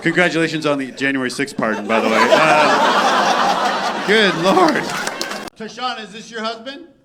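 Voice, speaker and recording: A man's raised, projected voice in a Canadian accent, high-pitched with very wide pitch swings and big swings in loudness, at a moderate pace, with audible room echo and crowd noise behind. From Canada. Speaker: stand-up comedian. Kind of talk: stand-up crowd work. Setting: stage with audience.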